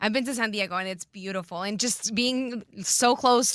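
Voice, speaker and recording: A woman with a Spanish accent speaks at a fairly quick pace with fairly even intonation, captured in a very clean recording with a silent background. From Colombia, Bogotá. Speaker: radio host. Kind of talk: interview.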